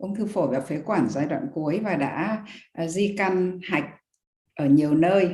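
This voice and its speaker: A woman speaks with a dark, mellow tone and lively intonation. Room echo is audible. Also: fairly slow pace. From northern Vietnam, Hanoi. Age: 60s. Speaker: retired university lecturer, guest. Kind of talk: testimony. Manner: halting, with fillers.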